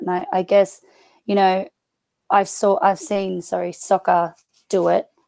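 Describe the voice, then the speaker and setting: A woman speaks with an Australian accent, her pitch medium and her tone dark and mellow. The sound is dry and close, with no echo. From Australia, rural New South Wales. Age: 30s. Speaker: footballer, rugby player and school teacher. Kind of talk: casual chat.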